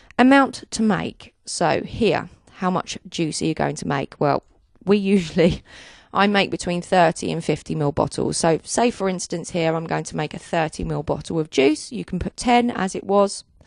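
A woman's plain, everyday voice, fairly low in pitch, with ordinary pitch variation at a moderate pace over a quiet background. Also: dry sound with no echo. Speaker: software tutorial narrator. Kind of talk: tutorial. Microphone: handheld.

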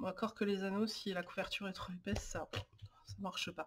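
Somewhat breathy, a woman talks at a moderate pace. Her intonation is fairly even. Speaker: lifestyle YouTuber on planning and organization. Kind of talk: tutorial. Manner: hesitant, many filler sounds.

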